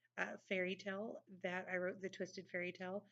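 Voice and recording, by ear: In a natural voice, someone reads a passage aloud.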